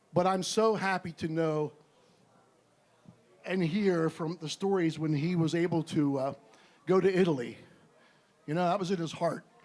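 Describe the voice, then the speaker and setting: A man with a high pitch, fairly even intonation, and long, frequent pauses, on a very clean recording with a silent background. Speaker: bandmate. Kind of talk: memorial tribute speech. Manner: fast.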